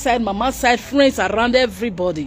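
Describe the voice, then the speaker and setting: A woman speaks at a moderate pace with very wide pitch swings. Light background noise is present. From Nigeria. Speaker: YouTube news commentator; commentary vlogger. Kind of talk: live broadcast commentary. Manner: animated. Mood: upset, impassioned. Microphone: phone near.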